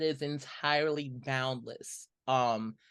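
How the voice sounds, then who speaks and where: A man speaks very slowly in a bright, sharp tone. The background is quiet. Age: 30s. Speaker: music producer and rapper. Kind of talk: casual conversational podcast.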